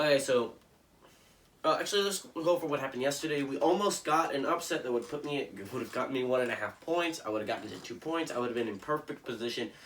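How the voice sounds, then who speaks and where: The speech moves at a very fast pace with noticeable background noise behind it. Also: man, ordinary pitch variation. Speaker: sports commentator. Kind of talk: casual sports picks monologue. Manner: casual, hesitant with fillers.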